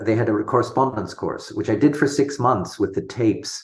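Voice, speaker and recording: A somewhat breathy man at a moderate pace, with ordinary pitch variation and a quiet background. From international schools abroad (Sumatra, Singapore, America). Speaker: homeopath. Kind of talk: interview.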